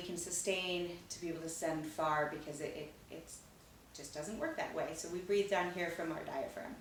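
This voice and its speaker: With noticeable background noise behind her, a woman speaks at a moderate pace in a medium pitch and fairly even intonation. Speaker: theatre teaching artist. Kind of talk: instructional talk to camera for children. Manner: encouraging, casual.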